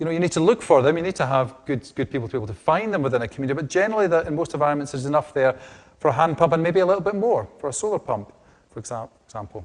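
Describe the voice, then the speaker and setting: A man's fairly high, very fast voice with lively intonation and a strong Scottish accent. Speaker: hydrogeologist, research division head. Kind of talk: lecture. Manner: hesitant, many repetitions and fillers.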